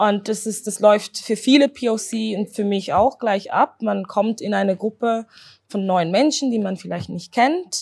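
On a very clean recording with a silent background, a woman speaks in a fairly high pitch with ordinary pitch variation. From Switzerland, Zurich. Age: 20s. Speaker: doctoral researcher and anti-racism activist. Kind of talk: interview. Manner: halting.

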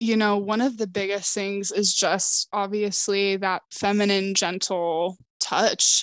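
Her voice sits at a medium pitch for a woman, delivered at a very slow pace with fairly even intonation in a dry, close sound with no echo. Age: 20s. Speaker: optician. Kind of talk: casual chat.

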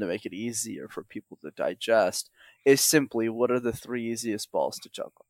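Speaking at a fairly quick pace, a man with a Montreal accent comes through on a very clean recording with a silent background. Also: dry, close sound with no echo. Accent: Canadian English, Montreal. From Montreal, Canada. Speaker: public speaking coach. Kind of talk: podcast interview. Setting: call.

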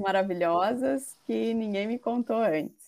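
This woman's pitch is medium. She talks at a very slow pace. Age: 40s. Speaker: mindfulness instructor. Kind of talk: interview. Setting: online call.

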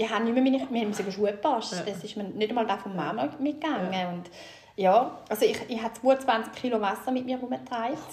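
Amid noticeable background noise, a woman with a fairly high pitch talks at a fairly quick pace with lively intonation. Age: 40s. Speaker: guest sharing fertility story. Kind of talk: personal testimony.

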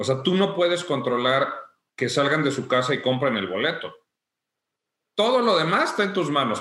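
A man talks with lively intonation in a fairly high voice with a bright, sharp tone. Audible room echo surrounds him. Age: 40s. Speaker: music technical production agency owner. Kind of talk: interview.

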